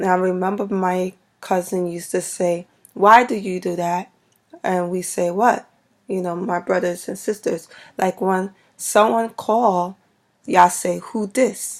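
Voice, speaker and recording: The recording is very clean, with a silent background. In an American accent, the speaker talks at a fairly slow pace with fairly even intonation. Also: woman, medium pitch for a woman. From Brooklyn, New York, US. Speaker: vlogger. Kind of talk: casual vlog talk. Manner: hesitant, many fillers.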